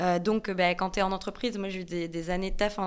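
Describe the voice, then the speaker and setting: The recording is very clean and the background silent. A woman races along at a very fast pace. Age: 20s. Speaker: content creator. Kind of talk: casual chat.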